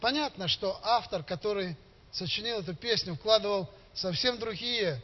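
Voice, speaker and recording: With lively intonation, a man speaks at a fairly slow pace. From Belarus, Gomel region. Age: 50s. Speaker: lay preacher. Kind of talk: sermon. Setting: church.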